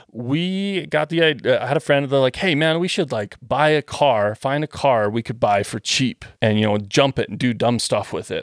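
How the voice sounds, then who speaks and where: The sound is dry and close with no echo. A man speaks at a moderate pace with ordinary pitch variation. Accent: Western Canadian. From Western Canada. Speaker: gun and parts designer. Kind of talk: casual chat.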